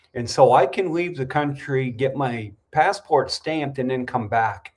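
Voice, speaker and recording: A man speaks with an American accent. His voice is somewhat breathy, with lively intonation. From New England, US (New Hampshire). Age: 60s. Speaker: YouTube livestream host, expat vlogger. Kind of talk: casual livestream chat reading comments. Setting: livestream. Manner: conversational, with frequent fillers.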